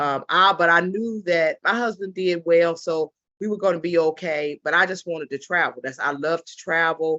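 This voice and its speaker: Here is a woman with an unremarkable speaking voice, fairly low in pitch and fairly even in intonation. She moves at a moderate pace, and her loudness swings a lot. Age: 60s. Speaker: travel business ambassador, former government worker. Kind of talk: business opportunity pitch on video call. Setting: video call.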